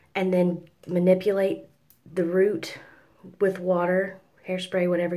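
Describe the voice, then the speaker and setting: Against a quiet background, a woman talks at a fairly slow pace and a fairly low pitch, her tone dark and mellow. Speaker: hair tutorial vlogger. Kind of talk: hair tutorial talk to camera. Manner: soft-spoken. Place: home room. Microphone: phone near.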